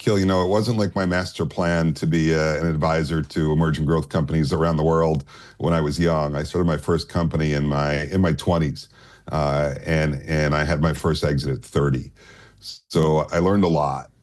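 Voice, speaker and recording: Very deep and low in pitch, a man speaks at a moderate pace with very even loudness and fairly even intonation. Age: 60s. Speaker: capital markets advisor. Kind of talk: interview.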